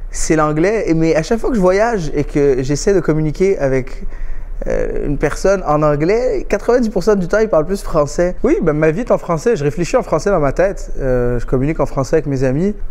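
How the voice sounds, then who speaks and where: Through noticeable background noise, a man with a non-native accent speaks at a fairly quick pace in a high pitch with lively intonation. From Quebec. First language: not French (speaking French). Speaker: comedian. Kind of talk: interview testimony. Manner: halting, many fillers and restarts.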